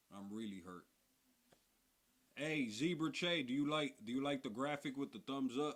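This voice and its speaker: A man with a fairly high pitch talks at a moderate pace with ordinary pitch variation and long, frequent pauses. The recording is very clean, with a silent background. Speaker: fantasy basketball youtuber. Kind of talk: livestream Q&A. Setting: livestream. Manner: loud.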